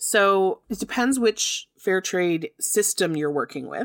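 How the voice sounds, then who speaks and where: With a Canadian accent, a woman at a medium pitch makes very wide pitch swings at a moderate pace, in a dry, close sound with no echo. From Canada. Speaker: podcast host and fair trade business owner. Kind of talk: scripted-style solo podcast talk, educational. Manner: enthusiastic, friendly.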